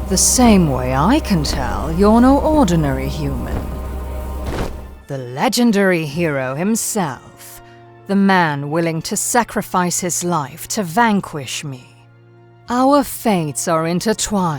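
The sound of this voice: Over faint music in the background, a woman uses a put-on character voice, slow and fairly low in pitch, with big pitch swings and a slightly mellow tone.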